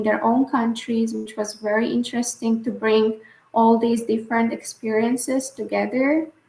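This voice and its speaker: Somewhat breathy and fairly high, a woman's voice moves at a moderate pace with monotone, flat intonation. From Bulgaria. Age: 20s. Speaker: scholar and activist. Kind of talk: interview answer.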